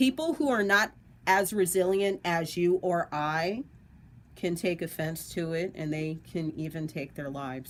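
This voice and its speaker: Delivery is fairly unhurried. The pitch rises and falls in a lively way. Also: woman. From US, the Valley; Dominican heritage. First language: Spanish. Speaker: online radio co-host. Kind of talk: radio talk show discussion.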